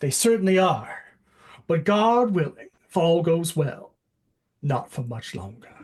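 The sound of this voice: In a put-on character voice with a Southern US accent, the speaker uses a middle pitch and talks at a fairly slow pace with long, frequent pauses. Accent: Southern American.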